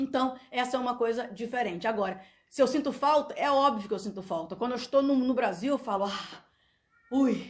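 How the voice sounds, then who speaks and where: A woman speaks loudly and fairly quickly at a high pitch with ordinary pitch variation. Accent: Brazilian. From Brazil. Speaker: YouTuber. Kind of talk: vlog monologue. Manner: halting.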